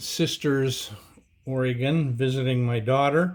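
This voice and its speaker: At a fairly slow pace, a man speaks in a medium pitch with audible room echo. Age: 70s. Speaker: amateur pilot and aircraft builder. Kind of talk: presentation. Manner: casual, with hesitations.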